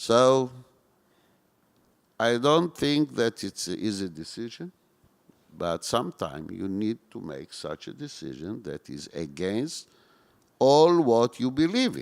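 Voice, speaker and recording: A man with an Israeli accent at a medium pitch, very wide pitch swings and big swings in loudness, a fairly slow pace with long, frequent pauses, and a dry, close sound with no echo on a very clean recording over a silent background. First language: Hebrew. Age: 60s. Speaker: former security service chief. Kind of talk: onstage interview. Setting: stage with audience.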